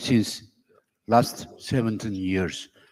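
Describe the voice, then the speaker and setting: Speaking very slowly, a man with a Turkish accent has a dark, mellow tone. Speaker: sports journalist, association officer. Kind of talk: acceptance speech. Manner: halting.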